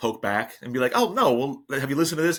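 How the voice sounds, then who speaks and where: Recorded very cleanly against a silent background, a man with an American accent speaks with ordinary pitch variation. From New Jersey. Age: 40s. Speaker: podcast host. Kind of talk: casual chat. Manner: halting, many repeated words.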